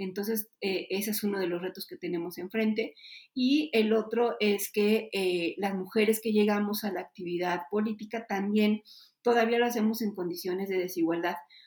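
A woman speaks in an ordinary speaking voice. Her pitch is medium and its variation ordinary. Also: moderate pace. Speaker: politician. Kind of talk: interview.

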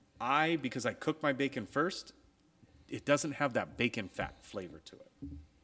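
A bright, sharp voice with vocal fry, big swings in loudness, lively intonation and a moderate pace. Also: man, fairly high pitch for a man. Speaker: podcast co-host. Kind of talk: casual chat.

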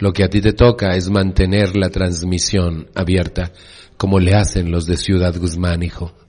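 A man's very deep, low voice, dark and mellow in tone, with monotone, flat intonation at a fairly slow pace. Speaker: support group speaker. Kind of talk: recovery talk to a meeting.

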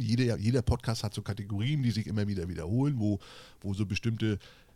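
A somewhat breathy man's voice with a dark, mellow tone, medium pitch and a very fast pace. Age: 40s. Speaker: podcast co-host, social media creator. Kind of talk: casual chat. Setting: video call.

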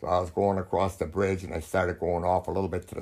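With a very deep, low pitch, a man talks at a fairly quick pace in a monotone, flat intonation, sounding somewhat breathy. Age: 80s+. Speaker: grandfather, former missionary. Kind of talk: casual interview, storytelling. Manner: halting, with many fillers.

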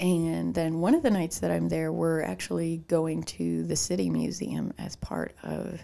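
A woman speaks with a Chicago accent. Her pace is fairly slow. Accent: Midwestern US, Chicago-tinged. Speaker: podcast co-host. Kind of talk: casual chat.

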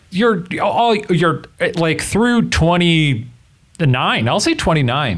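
Very slow speech with very wide pitch swings and very even loudness carries audible room echo. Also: man, high pitch for a man. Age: 30s. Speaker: advice podcast co-host. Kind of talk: casual chat.

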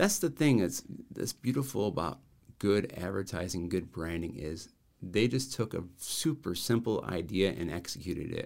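His pitch is fairly low, but it swings very widely. The man keeps a moderate pace. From Rockford, Illinois, US Midwest. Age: 40s. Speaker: branding and marketing consultant. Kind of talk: casual interview.

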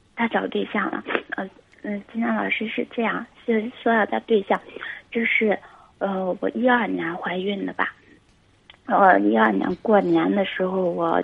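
The speaker moves at a moderate pace but leaves long, frequent pauses. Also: woman. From Guangxi, China. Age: 20s. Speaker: caller. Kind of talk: phone-in advice call. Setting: phone call. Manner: halting. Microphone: too quiet.

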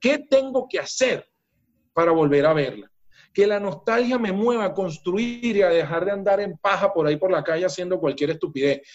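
A man with a Venezuelan accent, high-pitched and animated in tone. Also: lively intonation, moderate pace. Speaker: business coach. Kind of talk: interview conversation. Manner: animated, forceful.

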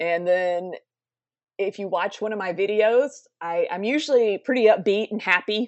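Moderate pace and medium pitch from a woman, the pitch varying in an ordinary way. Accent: Southern US. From South Carolina, US South. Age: 30s. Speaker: mental health advocate and entertainer. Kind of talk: interview. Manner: upbeat, laughs often.

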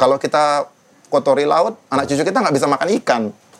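A man talks at a fairly quick pace in a fairly high-pitched voice. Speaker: rock band vocalist and activist. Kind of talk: casual interview conversation.

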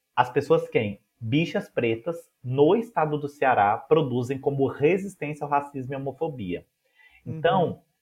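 Somewhat breathy, a man speaks with a fairly high pitch and lively intonation. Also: fairly slow pace. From Minas Gerais, Brazil. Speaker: music educator and researcher. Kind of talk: interview conversation.

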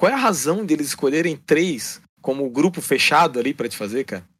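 A man's fairly high voice with very wide pitch swings, at a moderate pace. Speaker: gamer, co-host helper. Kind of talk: casual chat. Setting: online call.

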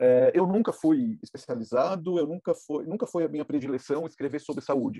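A man talks with hardly any pauses at a fairly high pitch, his tone dark and mellow. His intonation is lively, and the sound is dry and close with no echo. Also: moderate pace. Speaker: freelance foreign correspondent. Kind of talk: interview testimony.

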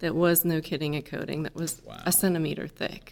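With an American accent and a plain, everyday voice, a woman talks at a fairly quick pace and fairly low pitch in a very clean recording with a silent background. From Indiana, US Midwest. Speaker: engineer, chief scientist. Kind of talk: interview.

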